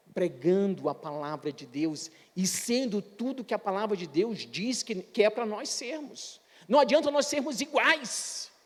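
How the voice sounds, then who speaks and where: Over noticeable background noise, a man talks at a fairly slow pace in a high pitch, with very wide pitch swings and big swings in loudness. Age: 60s. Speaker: pastor. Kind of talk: sermon.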